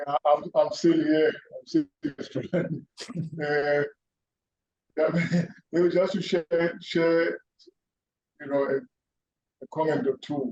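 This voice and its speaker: A man's high-pitched voice at a very slow pace, with long, frequent pauses, fairly even intonation and a dry, close sound with no echo. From South Africa, Gauteng (Benoni). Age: 60s. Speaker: panelist. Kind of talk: panel discussion. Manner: halting, many fillers.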